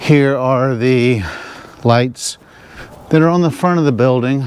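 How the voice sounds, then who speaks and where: At a fairly slow pace, a man speaks in a Southern US accent with a medium pitch and ordinary pitch variation. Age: 60s. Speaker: RV vlogger. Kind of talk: casual vlog narration.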